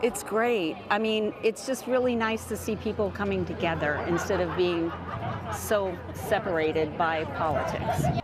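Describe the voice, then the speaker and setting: Amid crowd noise and audible room echo, a woman speaks at a fairly slow pace with medium pitch and ordinary pitch variation. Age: 70s. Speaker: protester. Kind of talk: street interview. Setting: outdoors at a rally.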